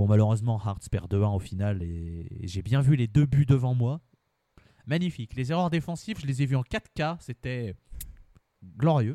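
A man's dark, mellow voice, fairly slow with long, frequent pauses and lively intonation, in a dry, close sound with no echo on a very clean recording with a silent background. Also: medium pitch for a man. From France, Lyon region. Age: 20s. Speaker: football supporter. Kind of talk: casual interview chat.

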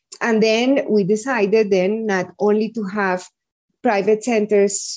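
A woman's medium-pitched voice with a Spanish accent and a dark, mellow tone, fairly even intonation, a fairly slow pace, and a quiet background. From Colombia, Medellin. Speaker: early education executive. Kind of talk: interview.

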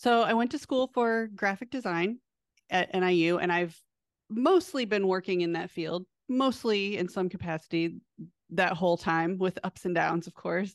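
Against a quiet background, a woman with an American accent and an unremarkable speaking voice talks at a moderate pace. Her medium pitch has ordinary variation, and the sound is dry and close with no echo. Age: 40s. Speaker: former pro dance team member and powerlifter. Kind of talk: interview conversation.

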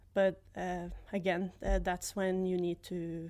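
A woman with a Norwegian accent speaks very slowly at medium pitch. Her intonation is monotone and flat, and the recording is very clean with a silent background. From Norway, near Oslo. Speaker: former college soccer player. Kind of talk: casual interview. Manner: laughs often.

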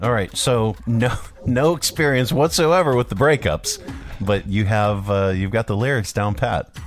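This man uses a normal speaking voice at a moderate pace, with lively intonation and a medium pitch. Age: 50s. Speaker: radio show host. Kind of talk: casual morning radio chat.

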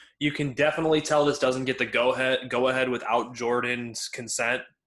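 A man with a normal speaking voice, medium pitch and fairly even intonation, against a quiet background. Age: 20s. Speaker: podcast co-host. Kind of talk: casual chat. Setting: recording indoors at home.

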